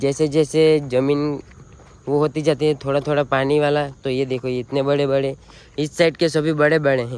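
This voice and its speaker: A man's fairly high, monotone voice with flat intonation and a Gujarati accent. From Gujarat, India. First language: Gujarati (speaking Hindi). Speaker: vlogger, farmer. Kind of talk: casual vlog walkthrough. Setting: outdoors in a farm field.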